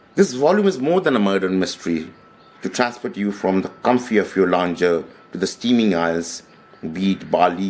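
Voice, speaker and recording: A man speaks in a Bengali accent with a very deep, low pitch. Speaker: author. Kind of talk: book talk. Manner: hesitant, with fillers.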